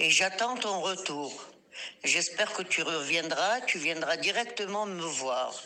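A woman with a medium pitch talks very slowly, her intonation lively. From Morocco, then Israel from age 11. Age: 70s. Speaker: grandmother, interviewee. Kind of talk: storytelling; voice message. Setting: at home.

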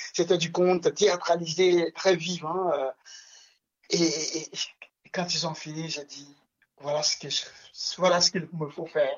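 A man with a high pitch speaks very slowly in a monotone, flat intonation, with long, frequent pauses and big swings in loudness. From Togo (Lomé). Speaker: storyteller. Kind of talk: radio interview.

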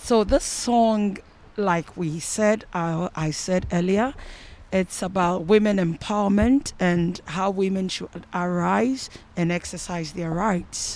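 A woman speaks at a very slow pace, her pitch medium. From Ghana. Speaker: musician. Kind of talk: interview. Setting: outdoors by a canal.

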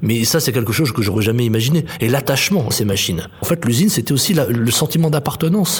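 A very fast, lively-toned man at medium pitch, with very even loudness over noticeable background noise. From France, Chartreuse near Grenoble. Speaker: playwright and theatre director. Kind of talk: interview.

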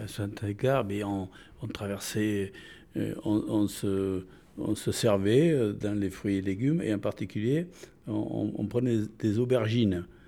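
Speaking at a very slow pace, a man uses a dark, mellow tone with fairly low pitch and ordinary pitch variation. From France. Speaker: retiree. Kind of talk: interview. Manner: halting.

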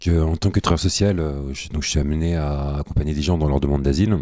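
His voice is very deep and low, with a dark, mellow tone. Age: 30s. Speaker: social worker. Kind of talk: radio interview.

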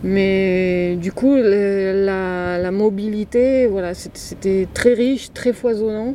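A woman with a medium pitch talks at a very slow pace with hardly any pauses. Background noise is noticeable. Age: 40s. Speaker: van dweller. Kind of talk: interview. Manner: halting.

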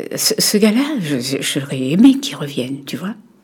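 Pitch swings very widely while the pace stays moderate. Noticeable background noise is audible throughout. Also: woman. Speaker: documentary interviewee, grandmother. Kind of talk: intimate conversation. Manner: halting.

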